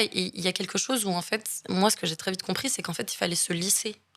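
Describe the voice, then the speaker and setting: A woman talks fairly quickly at a medium pitch with fairly even intonation, noticeable background noise behind her. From Marseille, southern France. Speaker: actress and film director. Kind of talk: interview conversation. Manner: halting, many hesitations.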